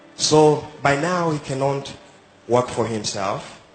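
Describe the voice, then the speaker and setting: A man's medium-pitched voice varies in an ordinary way against noticeable background noise. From Uganda. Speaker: migrant sharing life story. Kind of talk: street interview, personal testimony. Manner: halting, hesitant.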